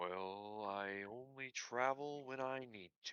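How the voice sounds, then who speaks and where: A man puts on a character voice, pitched in the medium range and delivered at a fairly slow pace. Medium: actual play. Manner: easygoing.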